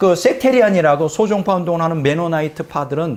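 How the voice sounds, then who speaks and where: Pitched high, a man talks at a very fast pace. His intonation is lively. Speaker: pastor. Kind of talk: sermon.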